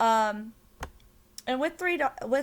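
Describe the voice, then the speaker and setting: This is a woman speaking. She has a strong Southern accent. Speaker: game content creator. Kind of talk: tutorial. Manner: loud; hesitant, many fillers.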